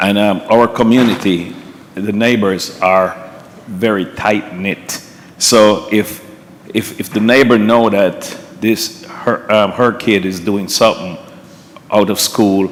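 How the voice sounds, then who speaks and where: In a Jamaican accent, a man speaks very slowly with a fairly low pitch and fairly even intonation. Long, frequent pauses break up his speech over noticeable background noise. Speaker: police officer. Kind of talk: panel discussion. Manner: halting, many repetitions.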